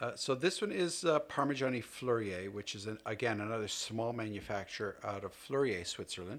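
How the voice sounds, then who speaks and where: A man with a Canadian accent and a normal speaking voice talks at a fairly quick pace with hardly any pauses, at a medium pitch with ordinary pitch variation. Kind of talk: casual interview chat.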